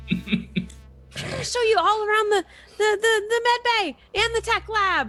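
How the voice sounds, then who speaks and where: Using a put-on character voice, a woman squeaks at an extremely high pitch. Her pace is fairly slow. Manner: cheerfully guiding a tour.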